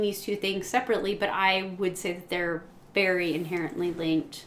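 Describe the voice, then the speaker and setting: At a moderate speed, a woman talks while noticeable noise fills the background. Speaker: teacher and podcast host. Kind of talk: casual chat. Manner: loud, projecting.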